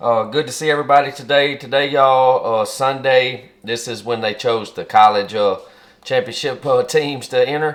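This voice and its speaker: A man with a Southern US accent talks at a medium pitch and moderate pace, keeping his intonation fairly even. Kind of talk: casual cooking video talk to camera.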